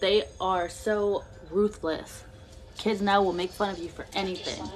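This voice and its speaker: Amid noticeable background noise, a woman speaks at a fairly slow pace and medium pitch with monotone, flat intonation. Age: 20s. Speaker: vlogger. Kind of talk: casual chat. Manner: halting.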